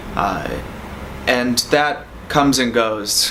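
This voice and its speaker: A man with an American accent, amid noticeable background noise and audible room echo. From US Northeast, Boston. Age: 30s. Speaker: rideshare driver telling a personal story. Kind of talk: testimonial interview. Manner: casual, with frequent fillers.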